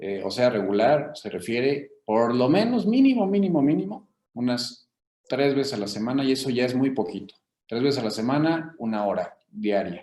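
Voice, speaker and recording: Speaking with a Mexican accent, a man with a dark, mellow tone and medium pitch talks at a moderate pace with lively intonation. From Mexico, Querétaro. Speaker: physician, rheumatologist. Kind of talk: interview. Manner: halting, many fillers.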